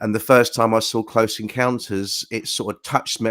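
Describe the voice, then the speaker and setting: The speaker talks with a British accent on a very clean recording with a silent background. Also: man. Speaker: crop circle researcher. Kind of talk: interview.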